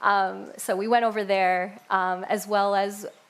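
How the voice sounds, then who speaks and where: A woman speaks at a medium pitch in a New York accent. Room echo can be heard. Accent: New York American. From US Northeast (Rochester, Upstate New York). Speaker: church member sharing faith story. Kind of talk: church testimony talk. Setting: church stage with congregation. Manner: casual with frequent fillers.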